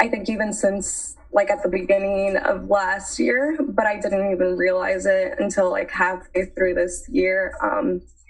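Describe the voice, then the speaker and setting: Against noticeable background noise, someone with an American accent talks at a fairly slow pace with lively intonation and hardly any pauses. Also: woman, medium pitch for a woman. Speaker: college student. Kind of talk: casual chat.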